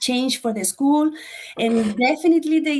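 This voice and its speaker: A woman with a Spanish accent speaks at a moderate pace. Her pitch shows ordinary variation. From Chile. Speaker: former school board candidate. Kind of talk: interview. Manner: halting, non-fluent English.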